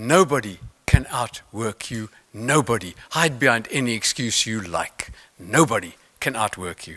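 A man's bright, sharp voice in a South African accent, fairly slow with lively intonation and big swings in loudness, over a quiet background. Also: medium pitch for a man. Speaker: motivational speaker, mental toughness expert; motivational speaker. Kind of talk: conference keynote talk. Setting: stage with audience. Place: stage. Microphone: podium.

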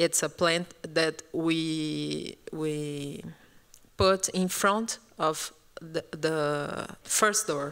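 A woman with a Brazilian accent speaks at a very slow pace in a very deep, low pitch. Her intonation is fairly even, and the background is quiet. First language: Portuguese. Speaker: architect, curator; panelist. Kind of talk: panel discussion. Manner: halting, searching for words. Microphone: handheld.

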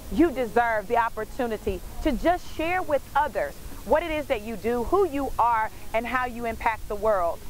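With light background noise and a dry sound with no echo, a woman speaks at a moderate pace with a high pitch and lively intonation. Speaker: motivational speaker. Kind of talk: motivational speech to camera. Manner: inspirational, reflective. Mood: warm, uplifting. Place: waterside.

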